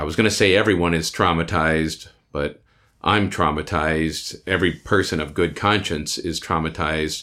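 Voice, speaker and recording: With an American accent, a man speaks at a moderate pace in a very deep, low pitch and a bright, sharp tone. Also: very clean recording, silent background. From Iowa, US Midwest. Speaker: labor organizer. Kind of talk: interview. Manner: halting.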